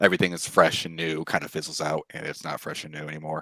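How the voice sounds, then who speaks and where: Dry and close with no echo, the recording has a man talking at a very fast pace. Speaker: dating show contestant. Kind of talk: casual chat. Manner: monotone.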